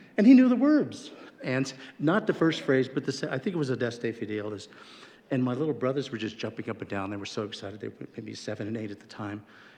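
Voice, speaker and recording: With an American accent, a man talks at a very fast pace with lively intonation. His loudness swings widely over noticeable background noise. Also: medium pitch for a man. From Colorado, Denver. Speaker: former state senator. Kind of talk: memorial tribute speech. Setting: legislative chamber. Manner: informal, anecdotal.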